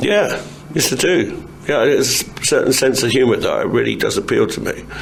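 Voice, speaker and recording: There's noticeable background noise as a man speaks at a moderate pace. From England. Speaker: actor. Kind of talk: interview answer.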